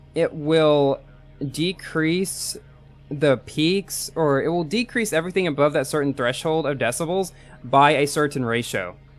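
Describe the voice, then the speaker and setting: With music in the background, a man talks at a fairly slow pace, his pitch fairly high and his pitch variation ordinary. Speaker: gaming live streamer. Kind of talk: live gaming stream chat. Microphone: new headset microphone with light compression.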